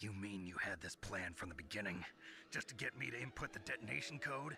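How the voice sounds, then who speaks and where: A man puts on a raspy character voice, fairly low in pitch, talking at a fairly quick pace with lively intonation over clear background noise. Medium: video game.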